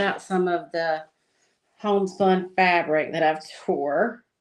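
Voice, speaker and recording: Monotone and flat, a woman with a Southern US accent speaks at a fairly low pitch. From US South. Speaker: crafter and livestream host. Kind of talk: casual chat while crafting. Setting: livestream. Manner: relaxed, laid-back.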